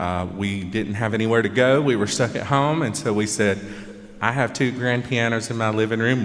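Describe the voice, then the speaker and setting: Amid noticeable background noise and audible room echo, a man with a Georgia accent speaks at a fairly low pitch. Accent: Southern (Georgia). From Georgia, US South. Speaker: pianist, performer. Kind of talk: concert stage talk.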